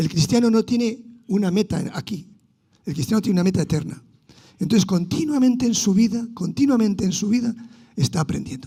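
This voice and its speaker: A man with a high voice and a dark, mellow tone speaks fairly quickly with lively intonation. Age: 60s. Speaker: pastor. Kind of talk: sermon.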